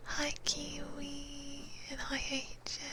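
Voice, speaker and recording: A whispering woman amid noticeable background noise and audible room echo. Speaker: ASMR streamer. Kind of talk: ASMR livestream chat. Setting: livestream with binaural mic.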